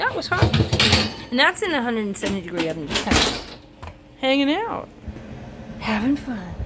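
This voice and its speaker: A woman with a fairly high voice speaks over noticeable background noise. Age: 60s. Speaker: cooking channel host. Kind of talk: casual cooking tutorial. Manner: casual, halting with fillers.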